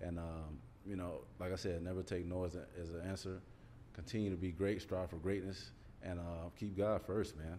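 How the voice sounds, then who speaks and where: At a moderate pace, a dark, mellow voice keeps fairly even intonation within audible room echo. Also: man, very deep, low pitch for a man. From Columbus, Georgia. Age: 40s. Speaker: former NFL player. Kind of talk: casual interview. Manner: laughs often.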